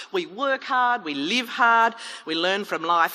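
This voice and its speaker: Her medium-pitched voice swings very widely in pitch as the woman speaks at a moderate pace. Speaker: chief executive officer. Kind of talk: public debate speech. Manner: humorous, lively.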